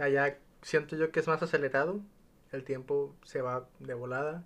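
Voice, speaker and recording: Here is a man with a plain, everyday voice and ordinary pitch variation. He goes at a fairly slow pace over a quiet background. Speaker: podcast host. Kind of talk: casual chat.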